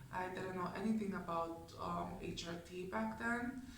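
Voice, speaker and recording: The speech comes at a very slow pace with ordinary pitch variation. Audible room echo and noticeable background noise are present. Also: woman. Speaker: video blogger. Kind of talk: personal vlog talk.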